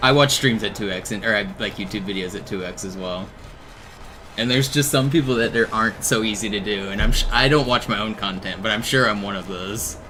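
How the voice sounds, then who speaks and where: A man's fairly low voice at a fairly quick pace with ordinary pitch variation, amid noticeable background noise and audible room echo. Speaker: video game streamer. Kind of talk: casual live stream chat. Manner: fast.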